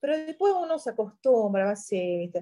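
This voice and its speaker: A woman speaks with lively intonation. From Syria, Yabrud near Lebanese border. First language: Arabic (speaking Spanish). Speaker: journalist. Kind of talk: interview.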